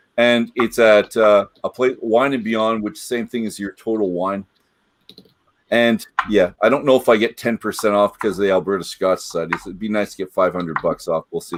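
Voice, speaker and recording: An unremarkable speaking voice with a Canadian accent moves at a fairly quick pace with fairly even intonation. The recording is dry and close with no echo. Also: man, medium pitch for a man. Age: 60s. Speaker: web show host. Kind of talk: casual chat.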